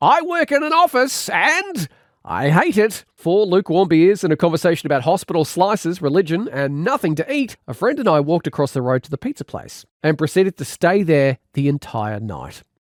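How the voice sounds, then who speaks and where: Pitch swings very widely in this Australian accent, delivered at a fairly quick pace with hardly any pauses. The sound is dry and close, with no echo. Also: man, high pitch for a man. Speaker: radio presenter. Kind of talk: audiobook reading. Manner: humorous.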